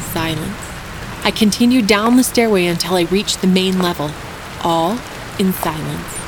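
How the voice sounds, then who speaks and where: The speech moves at a moderate pace with long, frequent pauses. Noticeable background noise sits behind it. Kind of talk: horror narration.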